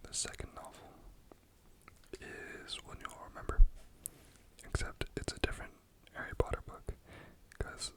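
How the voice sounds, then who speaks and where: The speaker whispers at a moderate pace, leaving long, frequent pauses. Background noise is noticeable. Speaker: ASMR content creator. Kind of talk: ASMR whispered ramble. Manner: whispered, soft-spoken.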